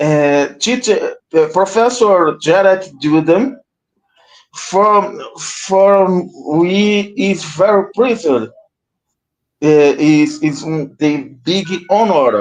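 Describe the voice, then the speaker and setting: A man speaks very slowly in a Portuguese accent, his high-pitched voice lively in intonation and broken by long, frequent pauses. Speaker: livestream host. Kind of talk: introduction. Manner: halting, hesitant.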